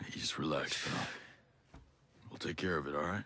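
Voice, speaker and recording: Using a put-on character voice, a man speaks at a moderate pace with a raspy, very deep, low pitch. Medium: video game. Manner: calm, commanding.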